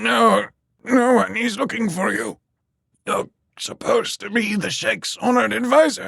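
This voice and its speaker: This man uses a put-on character voice, high-pitched and raspy. He speaks at a moderate pace. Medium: read story. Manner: hushed, fervent.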